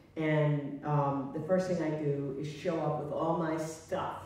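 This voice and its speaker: A woman with a very deep, low voice speaks in a room with strong echo. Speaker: guest. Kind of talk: interview answer. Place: stage.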